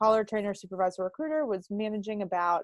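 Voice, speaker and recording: A woman with an unremarkable speaking voice talks at a fairly quick pace and medium pitch, with ordinary pitch variation. The sound is dry and close, with no echo. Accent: American. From US, Pittsburgh, Pennsylvania. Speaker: sales coach. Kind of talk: podcast interview.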